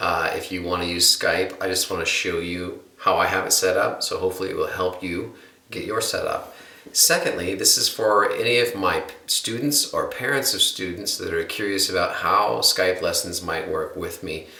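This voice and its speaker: Audible room echo and noticeable background noise accompany a man speaking at a moderate pace with an American accent. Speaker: guitar teacher. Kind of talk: tutorial.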